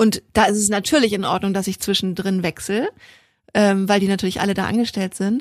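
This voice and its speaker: A woman's normal speaking voice at a medium pitch, fairly quick pace and fairly even intonation, in a dry, close sound with no echo on a very clean recording with a silent background. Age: 30s. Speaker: equestrian podcast co-host, rider. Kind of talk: casual chat.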